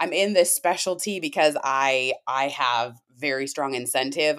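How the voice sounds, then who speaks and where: A woman with an American accent and a normal speaking voice talks at a fairly slow pace with lively intonation. The recording is very clean, with a silent background. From Washington State. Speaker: firefighter and wellness coach. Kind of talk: interview.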